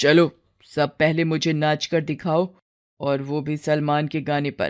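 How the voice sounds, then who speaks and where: A woman puts on a cartoonish character voice, very deep and low in pitch, speaking in a flat monotone over a very clean recording with a silent background. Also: moderate pace. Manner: brash, boastful.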